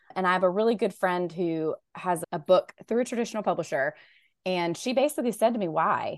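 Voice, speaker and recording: A woman with a Southern US accent talks fairly quickly at medium pitch, using lively intonation. The background is quiet. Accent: Southern American. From US South, Raleigh, North Carolina. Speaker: novelist. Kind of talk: interview.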